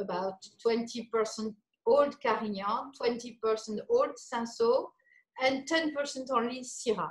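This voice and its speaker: A woman with a French accent, high in pitch, at a fairly slow pace with ordinary pitch variation. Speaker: winemaker. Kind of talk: casual chat. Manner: halting.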